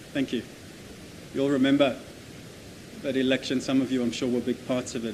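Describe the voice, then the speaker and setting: Speaking at a very fast pace with long, frequent pauses, a man with an Australian accent talks at medium pitch. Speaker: development agency representative. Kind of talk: conference presentation.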